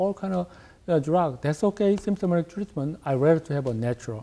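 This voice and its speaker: A man speaks with a Korean accent. His tone is dark and mellow. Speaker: acupuncturist, clinic director. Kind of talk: TV interview. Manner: halting, many fillers.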